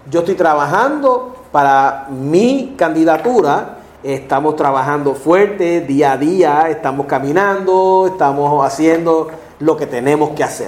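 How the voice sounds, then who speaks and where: Over noticeable background noise and audible room echo, a man talks at a fairly slow pace, his fairly high pitch moving with ordinary variation. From Puerto Rico, Ponce. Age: 50s. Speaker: political candidate. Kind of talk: interview.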